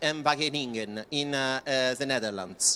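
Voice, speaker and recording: The voice has a bright, sharp tone and an Italian accent, moving at a moderate pace. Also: man. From Italy. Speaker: project presenter. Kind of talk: presentation. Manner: halting, many fillers.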